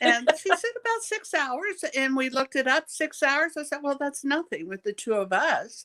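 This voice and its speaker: Her voice raised and projected, a woman with a high pitch and a bright, sharp tone speaks at a moderate pace with hardly any pauses and very wide pitch swings, in a dry, close sound with no echo. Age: 70s. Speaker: knitter, customer. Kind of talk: casual interview.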